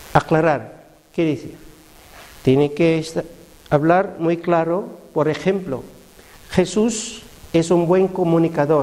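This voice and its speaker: A man speaks at a high pitch and a very slow pace, with long, frequent pauses. His intonation is fairly even, and background noise is noticeable. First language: not Spanish (speaking Spanish). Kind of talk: religious teaching talk. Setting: parish prayer group meeting. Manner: halting, with hesitations.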